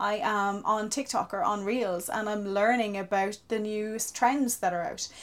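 A woman with a fairly high pitch, fairly even intonation and hardly any pauses. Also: moderate pace. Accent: southeastern Irish. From Ireland, County Wexford. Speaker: social media marketer. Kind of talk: interview conversation.

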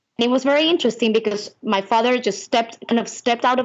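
With a Spanish accent, a woman talks using fairly even intonation. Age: 20s. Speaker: singer-songwriter. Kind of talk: interview.

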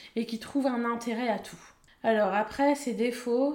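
A woman's voice sits high in pitch with ordinary variation. She talks at a moderate pace. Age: 30s. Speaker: local radio presenter. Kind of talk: casual chat.

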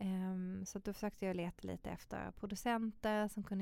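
A woman talks at a medium pitch in a dark, mellow tone. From Sweden, Malmö (Skåne). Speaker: model and fashion designer. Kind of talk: casual interview.

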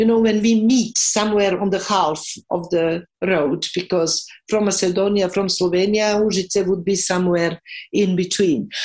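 A woman speaks with a Serbian accent. Her intonation is fairly even and her loudness very even. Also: medium pitch for a woman, moderate pace. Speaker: professor of cultural policy. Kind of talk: interview.

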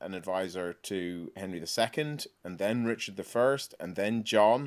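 A man with an Irish accent speaks at a fairly low pitch in a very clean recording with a silent background. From Ireland. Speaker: novelist. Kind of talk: interview.

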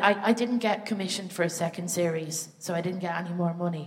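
A woman talks at a fairly quick pace in an Irish accent. Noticeable background noise is present. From Ireland. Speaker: comedian. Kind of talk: stand-up. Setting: stage with audience.

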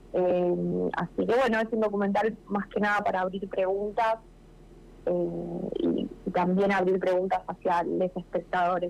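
A woman speaks at a fairly slow pace and very even loudness with music in the background. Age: 30s. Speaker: documentary filmmaker. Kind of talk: radio interview.

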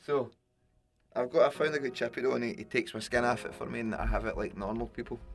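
A man with a Glasgow accent talks at a very fast pace. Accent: Scottish (Glasgow). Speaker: podcast host, musician. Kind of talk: casual chat. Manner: animated.

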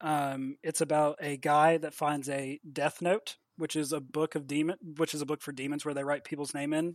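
A man with an American accent speaks at a moderate pace in a fairly high pitch. His intonation is monotone and flat, and the sound is dry and close with no echo. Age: 30s. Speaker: comic book writer. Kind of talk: casual interview.

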